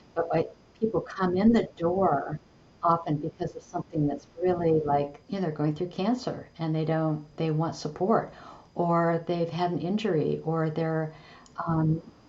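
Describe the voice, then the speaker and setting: A woman with a fairly low pitch talks fairly slowly while noticeable noise sits in the background. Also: fairly even intonation. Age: 70s. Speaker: holistic coach and business founder. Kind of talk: podcast interview. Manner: conversational with frequent fillers.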